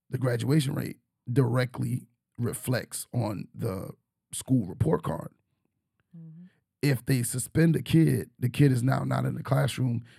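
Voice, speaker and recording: At a fairly slow pace and with long, frequent pauses, a man speaks in a dark, mellow tone at a medium pitch with ordinary pitch variation and vocal fry. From New York. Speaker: teacher and podcast host. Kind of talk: casual chat.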